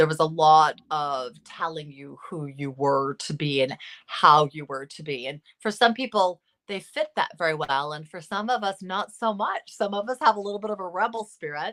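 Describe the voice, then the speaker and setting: Her loudness swinging widely, a woman with a plain, everyday voice and an American accent talks at a moderate pace and fairly low pitch. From US West Coast, Los Angeles. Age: 50s. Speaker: psychotherapist. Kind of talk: interview.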